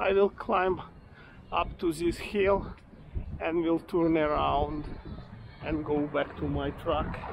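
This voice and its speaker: A man speaks in a relaxed tone at a very slow pace. His speech has long, frequent pauses. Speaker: walking tour vlogger. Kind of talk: self-guided walking tour narration, pointing out local history and shops. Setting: outdoors. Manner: rambling, halting with frequent fillers and self-corrections; relaxed, chatty, laughs casually while walking.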